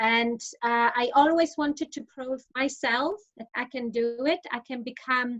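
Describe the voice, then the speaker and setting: This woman has a high pitch and a Polish accent. She talks at a fairly slow pace with ordinary pitch variation. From Poland. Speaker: insolvency professional. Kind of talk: interview. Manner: hesitant, many fillers.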